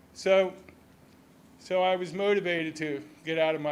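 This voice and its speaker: A man speaks with an American accent. There is audible echo in the room. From southern New Jersey, Millville. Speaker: resident speaking at public comment. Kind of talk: public comment at a city council meeting. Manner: halting, many repeated words.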